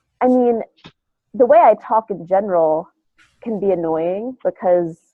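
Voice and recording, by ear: A woman speaks at a fairly slow pace in a nasal, medium-pitched voice with ordinary pitch variation, recorded dry and close with no echo.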